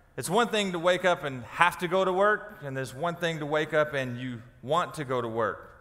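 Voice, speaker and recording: A man with a high-pitched voice speaks at a moderate pace with lively intonation. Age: 30s. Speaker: pastor. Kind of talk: sermon. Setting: church. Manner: animated. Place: church.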